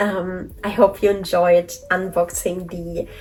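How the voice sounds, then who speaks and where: A woman talks in a monotone, flat intonation at a fairly slow pace, with noticeable background noise behind her. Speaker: toy collector vlogger. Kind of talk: casual vlog talk to camera. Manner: mumbling.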